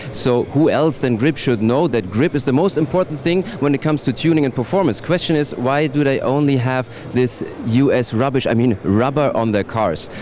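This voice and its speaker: With a German accent, a man speaks at a moderate pace in a fairly high voice, his loudness very even and his pitch varying in an ordinary way, over noticeable background noise. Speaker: trade show reporter. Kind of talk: guided tour presentation. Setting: trade show floor.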